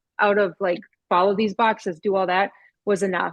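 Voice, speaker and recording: Against a quiet background, a woman speaks at a medium pitch with a Minnesotan accent. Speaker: author and speaker. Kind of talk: casual chat.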